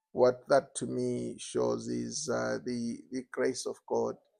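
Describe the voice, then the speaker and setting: In a dry, close sound with no echo, a man talks at a very slow pace. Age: 60s. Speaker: birthday celebrant, father. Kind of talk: interview answers, personal reflection.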